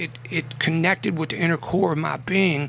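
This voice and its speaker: A man speaks at a fairly high pitch. Noticeable background noise is present. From Kentucky, Adair County. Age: 60s. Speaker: poet. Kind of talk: radio interview. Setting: radio studio. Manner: animated.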